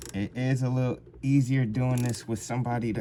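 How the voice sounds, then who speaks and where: Noticeable background noise sits behind speech that unfolds at a fairly slow pace. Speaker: DIY mechanic vlogger. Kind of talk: tutorial. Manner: casual, halting.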